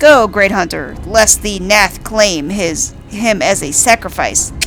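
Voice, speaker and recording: Using a put-on character voice, a woman speaks fairly slowly at a medium pitch, with clear background noise behind her. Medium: game stream. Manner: archaic, stilted, repetitive phrasing.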